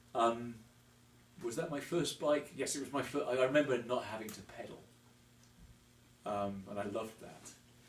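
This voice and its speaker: A man with a medium pitch speaks at a moderate pace, with ordinary pitch variation, big swings in loudness and long, frequent pauses. Noticeable background noise and audible room echo fill the recording. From England, Devon. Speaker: motorcyclist and construction worker. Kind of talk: interview. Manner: hesitant, many fillers.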